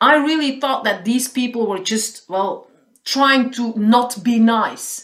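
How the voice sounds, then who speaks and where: A woman with a Flemish accent and a high pitch speaks very slowly, her pitch varying in an ordinary way. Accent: Flemish Dutch-accented English. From Belgium, Flanders. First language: Dutch. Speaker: caller, happiness consultant and trainer. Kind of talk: phone interview.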